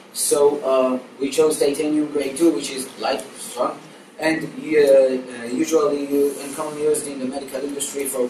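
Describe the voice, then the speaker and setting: At a moderate pace, a man speaks with fairly even intonation, with audible room echo and light background noise. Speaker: presenter. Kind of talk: class presentation. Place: classroom. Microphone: camera far.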